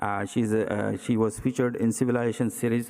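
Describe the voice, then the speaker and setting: The speaker talks at a moderate pace with an Indian accent. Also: man. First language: Indian language. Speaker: cardiac surgeon. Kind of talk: presidential address. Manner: hesitant with many fillers.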